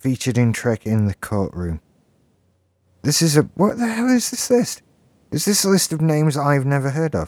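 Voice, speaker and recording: A man with a fairly high pitch speaks at a moderate pace, leaving long, frequent pauses and making very wide pitch swings. The recording is very clean, dry and close, with a silent background and no echo. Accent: British. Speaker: podcast co-host. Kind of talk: casual chat.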